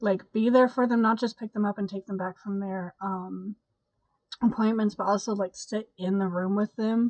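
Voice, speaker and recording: Quiet and tired in tone, a woman with a fairly high pitch talks at a moderate pace with fairly even intonation, her sound dry and close with no echo. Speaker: YouTube host reading positive stories. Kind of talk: casual talk to camera. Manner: quiet, tired, congested.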